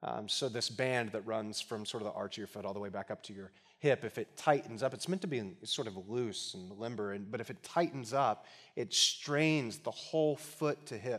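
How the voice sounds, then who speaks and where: An ordinary speaking voice from a man of medium pitch, with ordinary pitch variation, at a moderate pace. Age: 40s. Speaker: guest preacher. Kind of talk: sermon. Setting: church with congregation.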